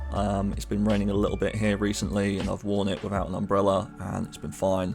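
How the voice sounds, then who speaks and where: With a British accent, the speaker has vocal fry and fairly even intonation. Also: man. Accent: British accent, noticeable. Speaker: clothing reviewer. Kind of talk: product comparison video. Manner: casual, with frequent fillers.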